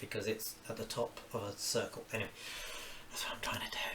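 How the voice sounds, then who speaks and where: A man with a southeast English accent at a moderate pace, over noticeable background noise. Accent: southeast English, near-London. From southeast England, Kent (Orpington). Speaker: cartoonist. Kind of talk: live-stream drawing commentary. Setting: at home, cooking while streaming. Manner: casual, thinking aloud with exclamations.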